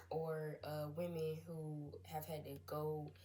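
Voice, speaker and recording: The speaker has an American accent. Audible room echo and noticeable background noise are present. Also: woman. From US South, South Carolina. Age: 20s. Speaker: college student. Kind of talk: class presentation. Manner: hesitant, many fillers.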